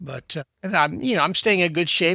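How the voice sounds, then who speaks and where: A man with an American accent, bright and sharp in tone, with lively intonation, on a very clean recording with a silent background. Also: dry, close sound with no echo. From Texas. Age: 70s. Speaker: historian. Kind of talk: casual chat. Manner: halting, repeats words.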